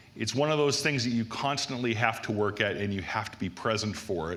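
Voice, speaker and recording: With lively intonation and an American accent, a man talks amid noticeable background noise and audible room echo. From US Northeast. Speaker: conference speaker on application security. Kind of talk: conference talk.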